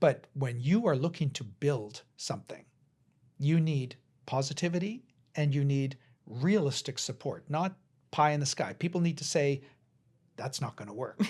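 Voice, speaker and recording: A man with a western Canadian accent speaks in a fairly high, somewhat breathy voice with ordinary pitch variation and long, frequent pauses. The recording is very clean, with a silent background. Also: moderate pace. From Canada, interior British Columbia. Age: 60s. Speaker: cross-cultural educator and entrepreneur. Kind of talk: podcast interview.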